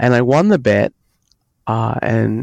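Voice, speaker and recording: Dark and mellow in tone, a man speaks with ordinary pitch variation in a dry, close sound with no echo. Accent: Australian. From Australia. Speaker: software engineer, author. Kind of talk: podcast interview. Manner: halting, many fillers.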